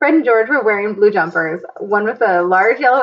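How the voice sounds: The speaker uses a natural reading voice full of lively intonation.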